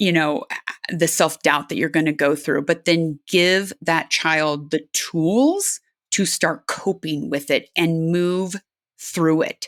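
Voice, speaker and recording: In an American accent, a woman speaks at a very slow pace with a fairly low pitch, ordinary pitch variation and very even loudness, in a dry, close sound with no echo. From California. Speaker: aerospace engineer and adventure athlete. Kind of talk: interview.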